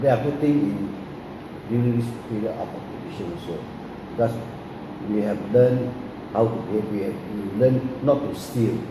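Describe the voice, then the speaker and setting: Someone speaks at a moderate pace with long, frequent pauses and ordinary pitch variation, over noticeable background noise and audible room echo. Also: man, medium pitch for a man. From Singapore. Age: 70s. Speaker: grandfather recalling wartime memories. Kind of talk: oral history interview.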